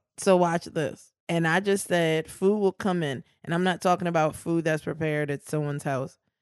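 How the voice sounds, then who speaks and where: An ordinary speaking voice from a woman, fairly low in pitch, at a moderate pace with hardly any pauses, fairly even intonation and a quiet background. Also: dry, close sound with no echo. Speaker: podcast host, legal commentator. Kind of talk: casual banter about law.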